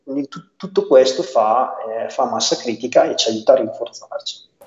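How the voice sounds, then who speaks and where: A man speaks at a fairly slow pace. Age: 30s. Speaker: local party coordinator. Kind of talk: interview. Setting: video call. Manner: halting, many fillers and restarts.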